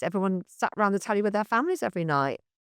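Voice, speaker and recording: The speaker has a Mancunian accent. The sound is dry and close with no echo, over a quiet background. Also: woman. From northern England, Manchester. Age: 60s. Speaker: comedy club founder. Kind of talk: podcast interview.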